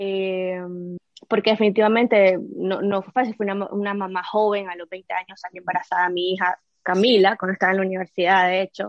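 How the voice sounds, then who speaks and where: Fairly quick, flat, monotone speech from a woman. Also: medium pitch for a woman, dry, close sound with no echo. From Nicaragua. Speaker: entrepreneur and former TV host. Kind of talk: interview.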